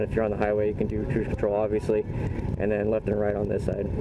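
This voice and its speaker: Speech races at a very fast pace against noticeable background noise. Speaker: motorcycle vlogger. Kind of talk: casual vlog chat. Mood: excited, upbeat. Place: street. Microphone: phone near.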